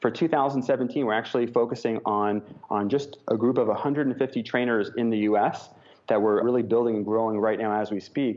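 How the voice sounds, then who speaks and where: Here a man talks at a moderate pace in an ordinary speaking voice. His pitch is medium and his intonation fairly even. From New York. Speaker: entrepreneur and keynote speaker. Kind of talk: interview.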